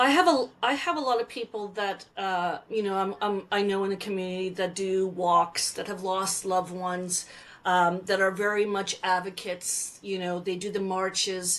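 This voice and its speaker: A woman speaks at a moderate pace with a Canadian accent, her pitch medium and her intonation fairly even. She has an unremarkable speaking voice and hardly any pauses. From Alberta, Canada. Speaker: Métis speaker and storyteller. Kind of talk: interview answer.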